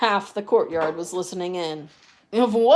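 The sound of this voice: The reading voice sounds unforced. Its pitch varies in an ordinary way.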